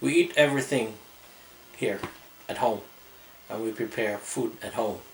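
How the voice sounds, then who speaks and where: Noticeable background noise surrounds the speaker. A man talks with fairly even intonation. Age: 60s. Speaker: retiree vlogger. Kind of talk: casual vlog talk. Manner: halting.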